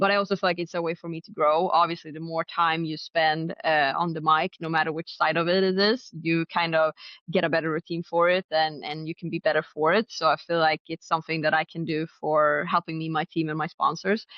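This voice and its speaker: With a Swedish accent, a woman speaks at a fairly low pitch and a fairly quick pace, with hardly any pauses. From Sweden, Stockholm area, then Finnish island. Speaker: drag racer. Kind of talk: interview.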